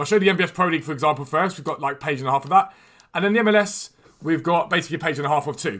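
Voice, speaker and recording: Talking at a very fast pace, a man with a British accent has a high pitch. His pitch variation is ordinary. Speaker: gaming streamer. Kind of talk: live stream commentary. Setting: live stream. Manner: casual, chatty.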